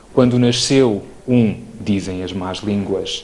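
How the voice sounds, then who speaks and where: A man speaks at a fairly slow pace. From Portugal, Trás-os-Montes (Alto Douro). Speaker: neurologist. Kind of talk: lecture. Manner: formal.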